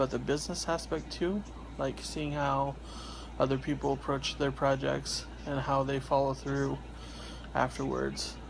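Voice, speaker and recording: A quiet man speaks at a fairly slow pace. He leaves long, frequent pauses. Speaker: independent comic artist and vlogger. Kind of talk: casual vlog monologue. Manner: hesitant, many fillers.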